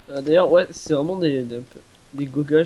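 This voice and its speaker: Over noticeable background noise, the words run at a very fast pace with ordinary pitch variation. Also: man. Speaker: gamer. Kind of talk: gaming commentary.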